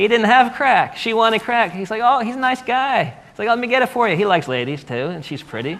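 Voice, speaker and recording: An animated man at a fairly quick pace, with very wide pitch swings over noticeable background noise. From US mid-Atlantic. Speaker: author. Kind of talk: panel discussion.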